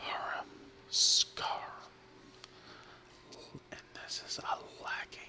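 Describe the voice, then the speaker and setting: A man whispering at a very slow pace, with noticeable background noise behind him. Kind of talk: ASMR word-and-definition reading. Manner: whispered, soft-spoken.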